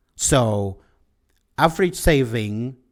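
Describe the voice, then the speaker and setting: A man's voice shows ordinary pitch variation, captured in a very clean recording with a silent background. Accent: Czech. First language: Czech. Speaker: podcaster. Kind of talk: solo podcast monologue. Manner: halting.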